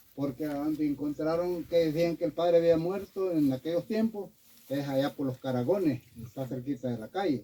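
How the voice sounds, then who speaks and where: Moderate pacing, ordinary pitch variation, and a dark, mellow tone. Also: man, fairly high pitch for a man. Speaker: local witness. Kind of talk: testimony.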